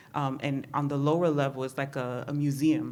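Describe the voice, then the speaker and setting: A woman's very deep, low voice in a dark, mellow tone, with a Spanish accent and audible room echo. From New York City (Bronx), Honduran Garifuna family. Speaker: therapist. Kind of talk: personal testimony. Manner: casual, many fillers.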